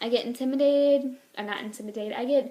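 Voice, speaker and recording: The speaker has an American accent, and there is noticeable background noise. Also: woman. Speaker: book reviewer vlogger. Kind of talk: casual book review vlog. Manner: halting, self-correcting.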